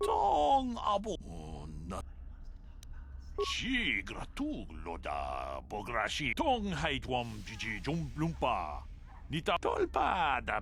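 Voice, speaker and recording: Against clear background noise, a man does a put-on character voice very slowly, with long, frequent pauses. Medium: video game.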